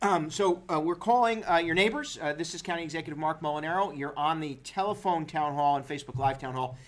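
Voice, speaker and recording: The speech moves at a very fast pace with ordinary pitch variation and audible room echo. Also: man, fairly high pitch for a man. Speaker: county executive hosting a town hall. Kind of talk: telephone and livestream town hall Q&A. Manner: halting, many fillers.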